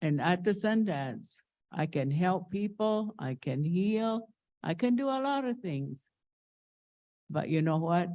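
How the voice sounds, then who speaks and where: In a very clean recording with a silent background, a woman with a dark, mellow tone and medium pitch speaks at a very slow pace, with very wide pitch swings and long, frequent pauses. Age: 80s+. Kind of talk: conference presentation. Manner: halting.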